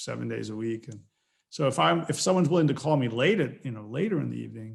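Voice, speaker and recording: A man talks at a very fast pace with an American accent. His loudness swings widely. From northeastern US, New York City area. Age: 60s. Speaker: angel investor and mentor. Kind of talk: casual interview chat.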